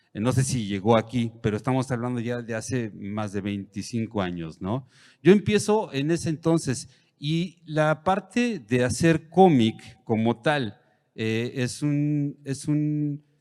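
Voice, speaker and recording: A man speaks very slowly at medium pitch, his tone dark and mellow. The intonation is lively, and the recording is very clean with a silent background. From Mexico. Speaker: comic book artist. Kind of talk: panel talk. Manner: halting, many fillers.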